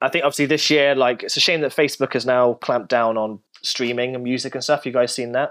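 A man speaks very fast in a British accent. He uses hardly any pauses and fairly even intonation. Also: medium pitch for a man. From Britain. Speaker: DJ and radio host. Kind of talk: casual chat.

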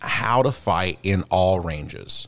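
On a very clean recording with a silent background, a man with an unremarkable speaking voice, a fairly low pitch and lively intonation speaks in an American accent. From US South. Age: 40s. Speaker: podcast host and martial arts practitioner. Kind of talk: casual chat.

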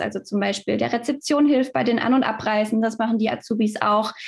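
With a fairly high pitch and ordinary pitch variation, a woman delivers her words at a fairly quick pace. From Stuttgart, southwest Germany. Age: 20s. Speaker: fitness manager at a holiday club company. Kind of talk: podcast interview.

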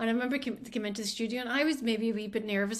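In a Scottish accent, a woman with a fairly high pitch speaks with monotone, flat intonation. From Scottish island. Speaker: music industry worker. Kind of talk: casual interview chat.

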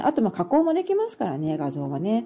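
Noticeable background noise runs through the clip. A woman is speaking. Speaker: podcaster and backpacker. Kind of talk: live stream chat reading comments. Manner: casual with many fillers.

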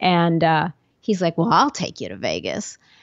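Using vocal fry, a woman with a fairly low pitch talks at a fairly quick pace with ordinary pitch variation. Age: 50s. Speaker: podcast host and life coach. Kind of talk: solo monologue podcast. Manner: casual, conversational.

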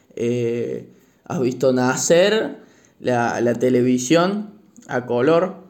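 Audible room echo around a man's medium pitch and ordinary pitch variation. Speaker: university student, podcaster, grandchild. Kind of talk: interview.

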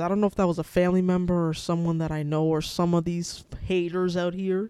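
With a dark, mellow tone and a fairly low pitch, a woman rushes along at a very fast pace with hardly any pauses. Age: 20s. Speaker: podcaster. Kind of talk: casual chat.

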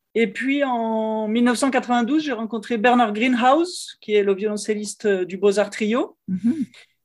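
Fairly high in pitch, a woman speaks at a very slow pace with hardly any pauses. The recording is very clean, with a silent background. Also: ordinary pitch variation. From France, Lyon. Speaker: cellist and music teacher. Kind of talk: interview conversation.

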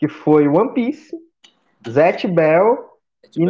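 Speaking at a fairly slow pace, a high-pitched man moves through very wide pitch swings. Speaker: podcast guest. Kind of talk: casual chat.

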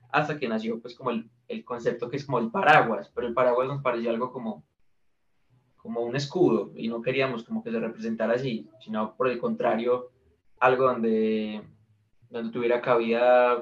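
Speaking at a moderate pace with fairly even intonation, a man uses a normal speaking voice at a medium pitch. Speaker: indie musician. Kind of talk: interview.

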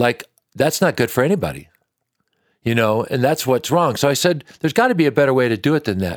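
A man speaks, and he has an American accent. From Washington State, US. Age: 60s. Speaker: country singer-songwriter. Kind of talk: interview conversation. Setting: supper club venue.

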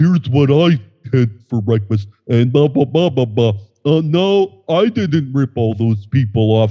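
A put-on character voice at a fairly slow pace. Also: man, medium pitch for a man. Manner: fake, exaggerated, wide-eyed.

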